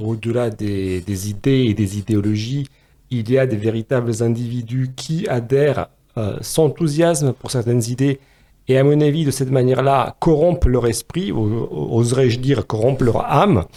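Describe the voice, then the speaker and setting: A dark, mellow tone carries ordinary variation in pitch. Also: man, medium pitch for a man, moderate pace. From Romania. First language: Romanian (speaking French). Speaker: philosopher and podcast co-host. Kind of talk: podcast discussion. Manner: hesitant, many fillers.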